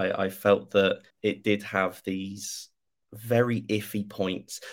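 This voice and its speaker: Over a silent background in a very clean recording, a man with a British accent talks at a fairly low pitch with fairly even intonation. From Britain. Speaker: youtuber. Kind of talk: casual chat.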